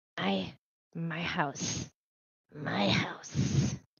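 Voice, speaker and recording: This is a put-on character voice, raspy and hissing. Its pitch sits low-to-middle. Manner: hissing, defensive.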